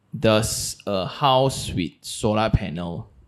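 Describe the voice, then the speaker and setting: A man with a fairly low pitch and a Malaysian accent speaks with vocal fry over noticeable background noise. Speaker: podcast host. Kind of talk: casual interview. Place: studio. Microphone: studio mic.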